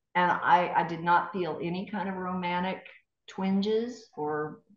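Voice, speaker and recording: A woman with a fairly low pitch speaks in fairly even intonation, with audible room echo. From East Tennessee. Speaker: former TV news anchor. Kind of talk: interview storytelling.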